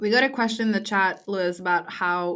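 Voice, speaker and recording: Speaking in a non-native accent, a woman with a medium-pitched, bright and sharp voice uses ordinary pitch variation, captured in a very clean recording with a silent background. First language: not English. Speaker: webinar host. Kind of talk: casual chat.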